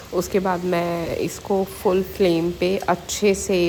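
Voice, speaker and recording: A woman speaks over noticeable background noise. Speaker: vlogger. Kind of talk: casual vlog narration. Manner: hesitant with fillers.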